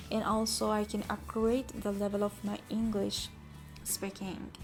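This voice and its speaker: A woman with a Persian accent speaks at a fairly slow pace amid noticeable background noise. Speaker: picture book illustrator. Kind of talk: casual tutorial talk to camera. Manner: halting, with self-corrections.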